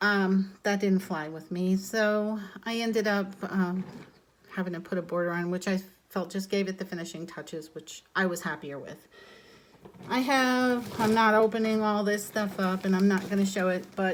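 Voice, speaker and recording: A woman speaks in an ordinary speaking voice at a moderate pace and medium pitch, her intonation fairly even. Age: 60s. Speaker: crochet crafter and vlogger. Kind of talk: casual vlog introduction and show-and-tell. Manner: casual, with frequent fillers.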